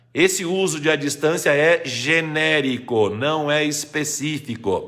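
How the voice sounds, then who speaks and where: Against noticeable background noise, a man speaks very slowly at a fairly high pitch with ordinary pitch variation. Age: 60s. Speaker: retired Portuguese grammar teacher. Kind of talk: live stream Q&A lesson. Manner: didactic.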